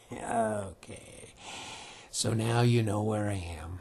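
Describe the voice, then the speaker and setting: A man uses a put-on character voice at a fairly low pitch. He speaks at a very slow pace. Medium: read story. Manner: dry, amused.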